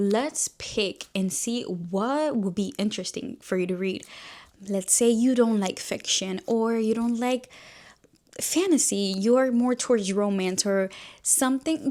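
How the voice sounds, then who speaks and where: A woman with a Spanish accent talks at a moderate pace with lively intonation. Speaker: book YouTuber. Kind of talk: casual chat. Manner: animated.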